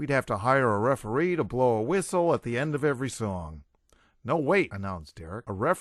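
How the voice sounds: This is a natural reading voice with lively intonation.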